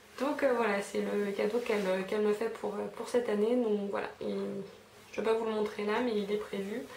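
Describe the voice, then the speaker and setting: A woman speaks in a fairly high pitch with a monotone, flat intonation. Room echo is audible, and background noise is noticeable. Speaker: beauty vlogger. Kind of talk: casual haul video monologue. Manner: fast; hesitant, many fillers.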